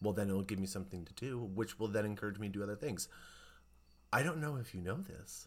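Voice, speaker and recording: Talking at a very fast pace, a man speaks in a fairly low voice. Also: lively intonation. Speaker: podcast host. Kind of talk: casual chat. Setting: recorded podcast conversation.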